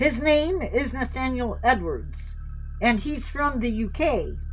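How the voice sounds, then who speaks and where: Someone does a put-on character voice against clear background noise. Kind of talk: horror narration. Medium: read story. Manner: theatrical, teasing.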